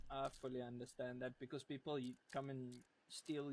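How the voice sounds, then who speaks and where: A man's medium-pitched voice at a moderate pace, with a strong Afrikaans South African accent. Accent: thick Afrikaans South African. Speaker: gamer. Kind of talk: casual chat.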